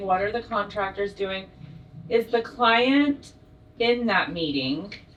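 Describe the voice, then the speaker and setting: Noticeable background noise sits behind a woman's voice. She speaks at a very slow pace. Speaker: audience member. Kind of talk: audience question. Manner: loud.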